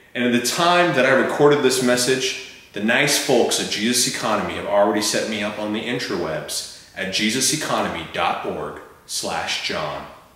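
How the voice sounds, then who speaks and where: A man's moderate-paced speech carries audible room echo. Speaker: fundraiser host. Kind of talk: scripted humorous appeal. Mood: playful, mock-formal. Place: home room.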